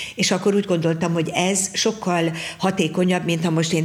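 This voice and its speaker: Her pitch fairly low for a woman, she speaks at a moderate pace with noticeable background noise. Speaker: folk dance teacher. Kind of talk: interview. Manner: halting.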